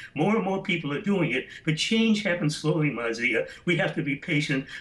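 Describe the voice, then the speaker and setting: With an American accent, a man with a fairly high-pitched voice speaks with lively intonation over noticeable background noise. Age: 70s. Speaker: radio host and writer. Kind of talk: news interview.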